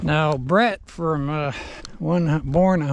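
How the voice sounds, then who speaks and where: Noticeable background noise sits behind a man's voice. He has a relaxed tone and ordinary pitch variation. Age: 70s. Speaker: vlogger. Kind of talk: casual vlog monologue. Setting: outdoors on horseback. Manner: relaxed, unhurried.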